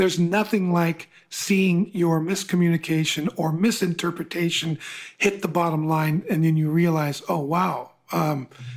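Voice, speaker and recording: This man's voice is pitched high. He keeps to a moderate tempo. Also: fairly even intonation. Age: 60s. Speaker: podcast host and coach. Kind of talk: interview.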